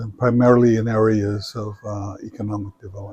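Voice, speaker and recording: A man with a Samoan accent and monotone, flat intonation. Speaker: retired business professor. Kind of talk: interview. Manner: hesitant, many fillers.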